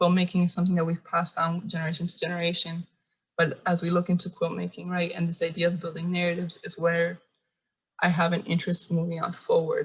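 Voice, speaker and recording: A woman talks at a very fast pace in a somewhat breathy, fairly low voice with monotone, flat intonation. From Cuba, raised in Miami. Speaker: visual artist. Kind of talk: artist talk presentation. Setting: video call. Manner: halting, with stutters.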